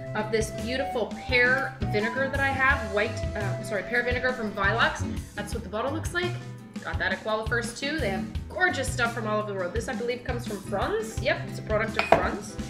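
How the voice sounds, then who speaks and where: A fairly quick-paced woman's voice over clearly audible background music. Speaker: web cooking host. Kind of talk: cooking tutorial. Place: kitchen. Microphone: camera far.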